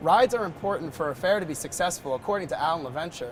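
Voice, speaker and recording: A man with an American accent speaks at a high pitch with lively intonation. He moves at a fairly quick pace over noticeable background noise. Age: 20s. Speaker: news anchor and reporter. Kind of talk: broadcast news anchor read. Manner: polished, clear.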